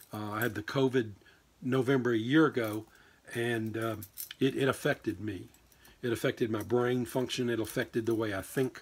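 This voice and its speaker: A man's medium-pitched voice at a moderate pace, fairly even in intonation, broken by long, frequent pauses. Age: 60s. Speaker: diecast racing channel host. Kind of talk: casual vlog update. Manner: halting, many fillers and repeats.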